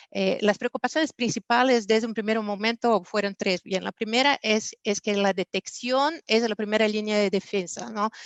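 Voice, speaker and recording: With a Portuguese accent, a woman talks at a moderate pace in a fairly high voice, using ordinary pitch variation and hardly any pauses. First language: Portuguese (speaking Spanish). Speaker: business executive, panelist. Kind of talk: panel discussion. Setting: virtual conference. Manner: hesitant, frequent fillers.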